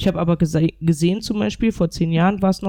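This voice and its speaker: Her dark, mellow voice sits fairly low for a woman, with ordinary pitch variation and a dry, close sound free of echo. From North Rhine-Westphalia, Germany. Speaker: women's football club president and coach. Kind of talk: panel discussion.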